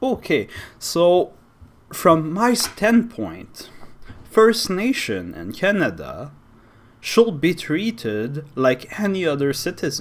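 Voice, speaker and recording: A man with a Quebec accent speaks at a very slow pace in a high voice, with very wide pitch swings. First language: French. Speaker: YouTuber. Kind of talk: opinion monologue. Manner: animated.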